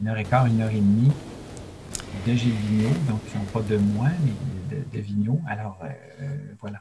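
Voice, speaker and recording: Over noticeable background noise, a man speaks at a moderate pace. His pitch is medium, with ordinary variation. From Quebec, Abitibi-Témiscamingue. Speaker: storyteller. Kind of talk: interview. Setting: remote video call.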